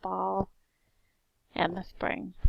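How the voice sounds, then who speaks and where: Vocal fry marks the speech of a woman talking in an American accent. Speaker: teacher. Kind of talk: class introduction. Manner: clear.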